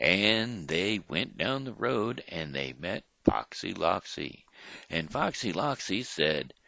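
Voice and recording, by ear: Reading aloud in a natural voice is what this clip holds.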